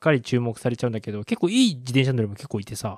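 Over a silent background in a very clean recording, a man talks at a very fast pace with ordinary pitch variation, the sound dry and close with no echo. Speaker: podcast co-host. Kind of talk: casual chat.

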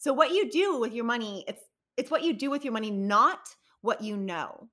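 Bright and sharp, the animated voice swings very widely in pitch on a very clean recording with a silent background. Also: woman. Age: 40s. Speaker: podcast host and money coach. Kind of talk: solo podcast monologue.

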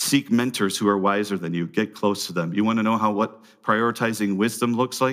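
A man with a plain, everyday voice speaks at a fairly quick pace with hardly any pauses, his fairly low pitch held to a fairly even intonation on a very clean recording with a silent background. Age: 40s. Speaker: pastor. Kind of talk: sermon.

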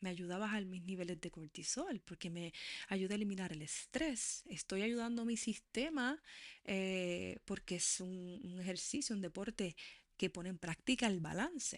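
A woman's medium-pitched voice at a fairly slow pace, with lively intonation. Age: 40s. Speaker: podcast host. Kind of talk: monologue.

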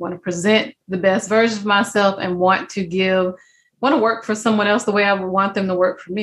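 A woman talks at a fairly quick pace in a medium pitch. Her voice has a slightly husky edge and fairly even intonation.

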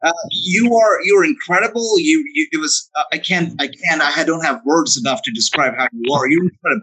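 A man speaks in a raised, projected voice at a high pitch, bright and sharp in tone. He moves at a fairly quick pace with very wide pitch swings and hardly any pauses. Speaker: wrestling podcast host. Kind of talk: interview, casual chat. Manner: enthusiastic, flattering, upbeat.

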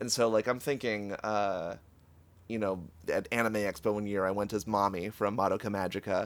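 The recording is very clean, and the background is silent. At a moderate pace, an unremarkable speaking voice keeps its intonation fairly even. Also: man, fairly low pitch for a man. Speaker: podcast co-host. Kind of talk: casual chat.

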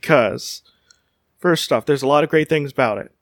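A man with an American accent at a fairly high pitch and with fairly even intonation, in a dry, close sound with no echo on a very clean recording with a silent background. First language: Spanish. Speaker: podcast host.

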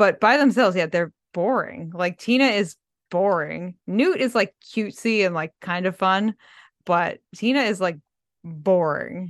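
In a dry, close recording with no echo and a quiet background, a woman speaks at a fairly slow pace and medium pitch, her tone animated and energetic with ordinary pitch variation. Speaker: podcaster and fan community creator. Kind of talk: casual chat. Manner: animated, energetic.

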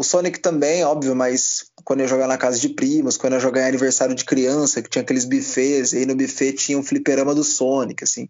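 Speaking fairly quickly in an ordinary speaking voice, a man with a fairly high pitch keeps his intonation fairly even. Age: 20s. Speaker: esports caster. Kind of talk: casual interview chat.

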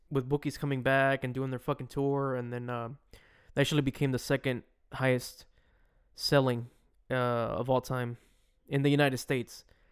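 A man talks at a moderate pace in a monotone, flat delivery with long, frequent pauses. The recording is very clean, with a silent background. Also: medium pitch for a man. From Mexican heritage. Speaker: podcast co-host, graphic designer. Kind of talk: casual chat.

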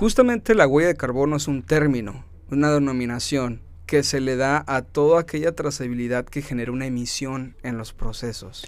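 Here is a man with an ordinary speaking voice at a medium pitch. He shows ordinary pitch variation at a moderate pace. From Mexicali, Baja California, Mexico. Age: 30s. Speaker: environmental entrepreneur. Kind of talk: interview.

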